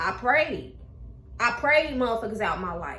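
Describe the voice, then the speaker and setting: In a room with audible echo, a woman uses a raised, projected voice and an animated tone at a fairly slow pace. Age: 20s. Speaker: YouTuber. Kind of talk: casual chat.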